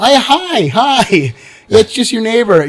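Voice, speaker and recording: A man uses a put-on character voice pitched high. He delivers it at a fairly slow pace. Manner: put-on, feigned friendliness.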